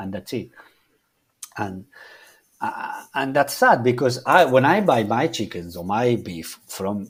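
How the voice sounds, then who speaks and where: His pitch swings very widely as this man speaks at a fairly slow pace. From Argentina. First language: Spanish. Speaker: chef. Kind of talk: interview. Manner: halting, many repetitions and restarts.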